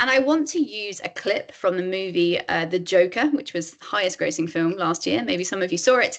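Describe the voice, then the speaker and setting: Her medium-pitched voice swings very widely in pitch as the woman talks at a fairly quick pace with hardly any pauses. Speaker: author and empathy advocate giving a workshop. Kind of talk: webinar presentation. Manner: fast.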